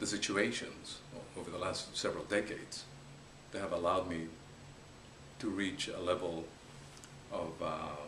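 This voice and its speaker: A man with a Spanish accent speaks at a fairly slow pace in a very deep, low pitch with ordinary pitch variation. Audible room echo and noticeable background noise are present. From Peru. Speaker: business investor. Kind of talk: interview. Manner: halting.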